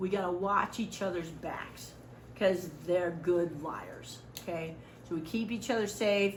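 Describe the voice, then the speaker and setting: A woman with a fairly low voice speaks at a fairly slow pace in an animated tone, with audible echo from the room. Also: ordinary pitch variation. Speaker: volunteer trainer. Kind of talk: training lecture. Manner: loud.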